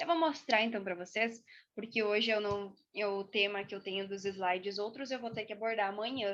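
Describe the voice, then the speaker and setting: A woman speaks at a moderate pace with a bright, sharp tone and a fairly high pitch. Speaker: university student presenting extension project. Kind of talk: online presentation to a group. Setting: video call.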